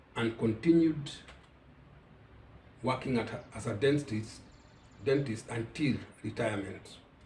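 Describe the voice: Slow, slightly mellow speech with ordinary pitch variation and audible room echo. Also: man.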